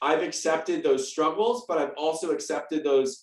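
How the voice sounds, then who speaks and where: A man talks at a moderate pace with an American accent and ordinary pitch variation. His is a plain, everyday voice. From US West Coast, San Diego, California. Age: 30s. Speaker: nonprofit founder and patient advocate. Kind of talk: testimony. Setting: video call.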